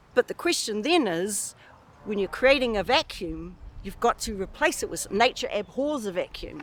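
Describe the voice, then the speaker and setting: A woman with a New Zealand accent speaks in a fairly high voice. Her pitch swings very widely, and her pace is fairly slow. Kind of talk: interview answer.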